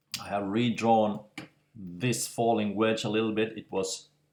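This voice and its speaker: Speaking with a non-native accent at a very slow pace, the voice keeps a fairly even intonation. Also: man. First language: non-native English speaker. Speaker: crypto market analyst. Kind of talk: casual screen-share market analysis. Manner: slow, hesitant, trips over words.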